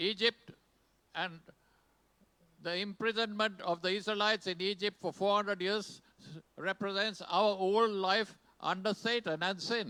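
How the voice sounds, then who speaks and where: A man speaks very slowly in a high, bright, sharp voice that is raised and projected, flat and monotone, with long, frequent pauses and a dry, close sound with no echo. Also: very clean recording, silent background. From Sri Lanka. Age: 80s+. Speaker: pastor. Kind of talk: sermon. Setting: church. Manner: short phrases paused for an interpreter.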